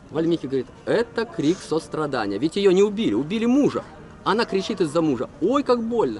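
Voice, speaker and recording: At a fairly quick pace, a man with a high-pitched voice is heard in a dry sound without echo over light background noise. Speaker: tour guide storyteller. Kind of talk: storytelling talk to a group. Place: open country. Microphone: phone near.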